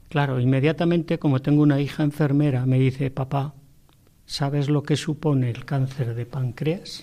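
Somewhat breathy, a man speaks with a dark, mellow tone at a fairly high pitch. His moderate pace comes with monotone, flat intonation. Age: 60s. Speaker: widower. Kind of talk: testimony.

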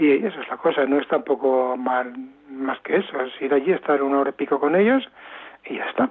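A man with an unremarkable speaking voice talks at a moderate pace, his pitch fairly high for a man. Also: ordinary pitch variation. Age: 60s. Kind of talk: interview. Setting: phone call.

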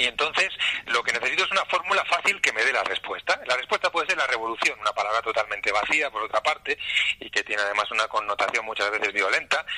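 A man speaks very fast while noticeable background noise plays behind him. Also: dry, close sound with no echo. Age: 50s. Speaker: journalist, editorial director. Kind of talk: interview.

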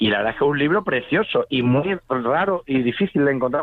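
This man speaks at a very fast pace. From Seville, Spain. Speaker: poet and musician. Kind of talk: radio interview. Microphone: distorted phone line.

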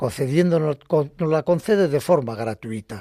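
Dry, close sound with no echo on a very clean recording with a silent background, a man at a fairly high pitch with a dark, mellow tone, lively intonation, and moderate pace. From Basque Country, Bilbao. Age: 70s. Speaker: retired lay catechist. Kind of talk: faith testimony on radio. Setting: radio studio.

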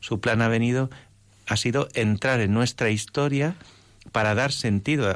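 A man with a plain, everyday voice, medium pitch, ordinary pitch variation and a moderate pace, on a very clean recording with a silent background. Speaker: priest, seminary rector and bishop-elect. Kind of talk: radio interview.

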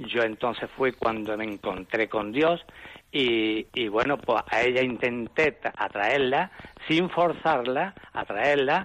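There is noticeable background noise as a man talks very slowly at a medium pitch. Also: ordinary pitch variation. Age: 70s. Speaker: caller. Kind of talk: testimony.

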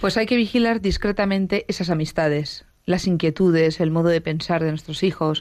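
Over a silent background on a very clean recording, a woman uses a normal speaking voice, fairly low in pitch with ordinary pitch variation, keeping a moderate pace, hardly any pauses and very even loudness. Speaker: teacher. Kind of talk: radio talk show. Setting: studio.

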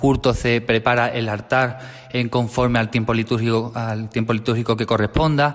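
The speaker is a man with monotone, flat intonation. He barely pauses at all. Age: 30s. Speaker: parish sacristan. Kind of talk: radio interview. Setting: radio studio. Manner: halting, repeats words.

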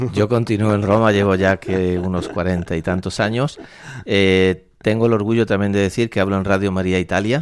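A man talks at a moderate pace in a plain, everyday voice, fairly low in pitch, with fairly even intonation and very even loudness. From Spain, La Mancha (Valdepeñas, Ciudad Real). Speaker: priest and university rector. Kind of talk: radio interview. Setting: radio studio.

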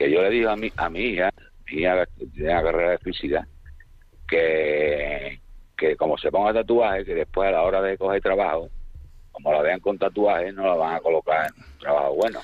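Very deep and low, a man's voice moves at a moderate pace. Its pitch variation is ordinary. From Seville, Spain. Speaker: radio caller. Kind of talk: phone-in anecdote. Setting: phone call.

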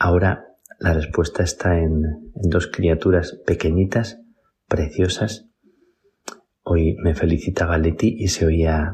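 A man's very deep, low, somewhat breathy voice at a very slow pace. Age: 50s. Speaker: priest. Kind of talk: spoken reflection. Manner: halting.

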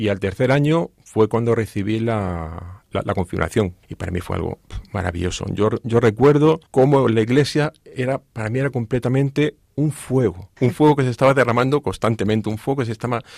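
This man talks at a moderate pace with hardly any pauses, his pitch medium and its variation ordinary. The sound is dry and close, with no echo. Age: 50s. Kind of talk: testimony. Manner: halting, repeats words.

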